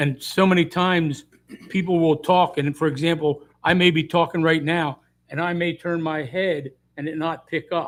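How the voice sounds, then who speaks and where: A man talks loudly at a moderate pace, his pitch high for a man and his intonation monotone and flat. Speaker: mayor. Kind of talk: public meeting discussion. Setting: council meeting chamber.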